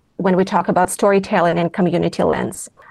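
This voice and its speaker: In a Russian accent, a woman speaks at a medium pitch. Her tone is dark and mellow, with fairly even intonation. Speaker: philanthropy co-chair, former journalist. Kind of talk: interview. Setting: remote recording.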